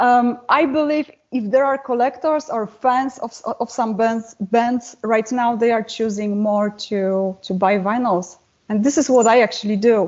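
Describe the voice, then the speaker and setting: A woman speaks at a fairly slow pace with a non-native accent. Her pitch is fairly high, with ordinary variation. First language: not English. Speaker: metal singer and guitarist. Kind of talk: interview.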